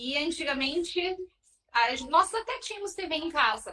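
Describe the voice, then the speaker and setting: Projecting her voice, a woman speaks in a bright, sharp tone with ordinary pitch variation. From southern Brazil, Porto Alegre. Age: 30s. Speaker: marathon runner. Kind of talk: podcast interview, personal story.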